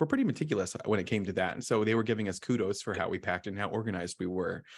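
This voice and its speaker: The speaker talks very fast in an American accent. The recording is very clean, with a silent background. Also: man. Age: 40s. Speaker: podcast host. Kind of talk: casual chat. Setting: Philadelphia during tornado warning.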